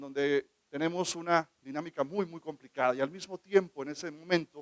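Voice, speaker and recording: Big swings in loudness mark a man with a fairly high pitch speaking at a moderate pace. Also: fairly even intonation. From northern Mexico (Baja California). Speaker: government legal official. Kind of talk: conference talk.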